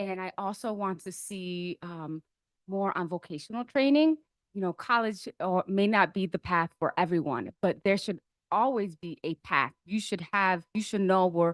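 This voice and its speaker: The sound is dry and close with no echo. A woman at medium pitch talks at a moderate pace with ordinary pitch variation. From Buffalo, New York. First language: not English. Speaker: school board candidate. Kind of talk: interview answers. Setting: board meeting.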